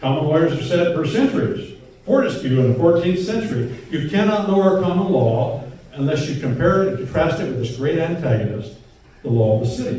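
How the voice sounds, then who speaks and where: A man's high-pitched voice, fairly quick and full of very wide pitch swings, comes with audible room echo and noticeable background noise. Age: 70s. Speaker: lecturer, common law lawyer. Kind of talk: lecture. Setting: bakery hall with live audience. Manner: animated.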